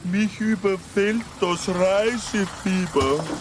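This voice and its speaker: A put-on character voice at a middle pitch moves at a very slow pace. Background noise is clearly audible. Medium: comedy sketch.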